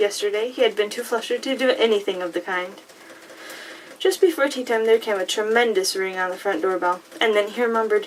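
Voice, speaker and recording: A fairly quick pace over noticeable background noise. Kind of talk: audiobook-style reading of a fantasy novel. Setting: close-mic recording with paper and rain sounds. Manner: soft-spoken, becoming more animated while reading.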